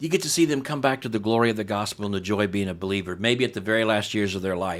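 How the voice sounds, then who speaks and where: With ordinary pitch variation, a man talks very fast in a fairly low voice. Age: 60s. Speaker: pastor and church replanter. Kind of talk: podcast interview.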